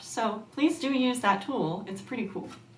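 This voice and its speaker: A woman at a fairly quick pace, with noticeable background noise and audible room echo. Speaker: ukulele teacher. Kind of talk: tutorial.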